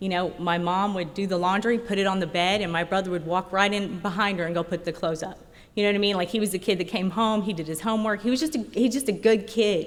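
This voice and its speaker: Very fast speech from a woman with a slight Oklahoma accent, medium pitch and ordinary pitch variation. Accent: slight country Oklahoma. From rural Oklahoma. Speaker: recovering alcoholic speaker. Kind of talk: recovery meeting talk. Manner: conversational, with many fillers.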